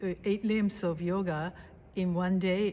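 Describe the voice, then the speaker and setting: A plain, everyday voice at a fairly slow pace. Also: woman. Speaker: interviewer, yoga host. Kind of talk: interview questions.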